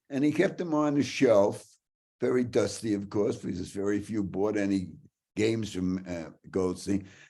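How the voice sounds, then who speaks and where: With a New York accent, a man speaks at a moderate pace in a dark, mellow tone full of very wide pitch swings. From Brooklyn, New York. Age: 90s. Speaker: hockey writer and storyteller. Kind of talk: storytelling talk. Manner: animated.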